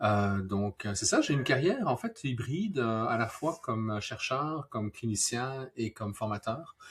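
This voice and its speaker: A man's medium-pitched voice with a slight Belgian accent, a fairly slow pace and noticeable background noise. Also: ordinary pitch variation, hardly any pauses. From Belgium. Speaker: neuroscientist. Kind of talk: live-stream interview. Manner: hesitant, many fillers.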